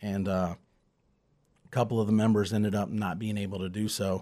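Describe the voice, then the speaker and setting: Very clean and silent in the background, this recording holds a man's fairly low, dark, mellow voice. He speaks at a moderate pace. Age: 40s. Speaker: country musician and bandleader. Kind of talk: casual interview chat.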